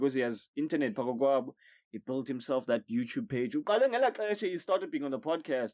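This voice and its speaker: Lively in intonation, a man with a South African accent speaks at a very fast pace in a fairly high pitch. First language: isiXhosa. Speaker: podcast host. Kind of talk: casual chat. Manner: loud.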